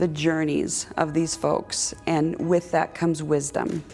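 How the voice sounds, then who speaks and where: With music in the background, a woman speaks at a fairly low pitch in a monotone, flat intonation. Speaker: social worker. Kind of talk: interview answer. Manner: hesitant, filler words.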